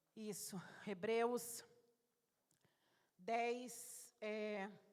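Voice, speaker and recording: A woman speaks with a fairly high pitch and monotone, flat intonation. Audible room echo surrounds her voice. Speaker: lay preacher. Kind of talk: sermon. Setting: church.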